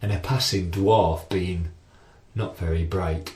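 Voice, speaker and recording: A man's somewhat breathy voice. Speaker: storyteller. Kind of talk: children's story reading. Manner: rhythmic, rhyming.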